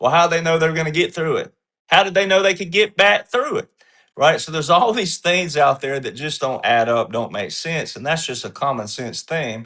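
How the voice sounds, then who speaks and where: Bright, sharp, high-pitched male speech with lively intonation at a fairly quick pace over a quiet background. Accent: Southern US. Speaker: panelist on a political commentary show. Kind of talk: panel discussion. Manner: casual folksy storytelling.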